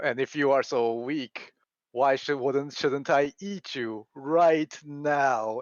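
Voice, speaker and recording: A growling, put-on character voice from a man, fairly high in pitch, at a very slow pace. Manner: growling, menacing.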